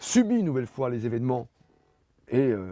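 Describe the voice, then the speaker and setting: A man speaks at a fairly slow pace with a dark, mellow tone and lively intonation. The sound is dry and close, with no echo. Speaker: author presenting his book. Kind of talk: book talk and Q&A. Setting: bookshop event with audience. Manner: hesitant with fillers.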